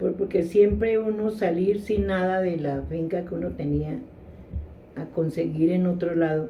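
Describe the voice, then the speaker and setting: A woman speaks at a fairly slow pace with a fairly low pitch and fairly even intonation, and audible echo fills the room. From Colombia, Tolima. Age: 70s. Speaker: interviewee. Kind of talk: interview.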